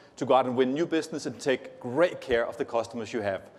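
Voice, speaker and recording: A man talks at a fairly quick pace with a Danish accent. His intonation is lively. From Denmark. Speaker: tech company executive. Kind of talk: conference keynote.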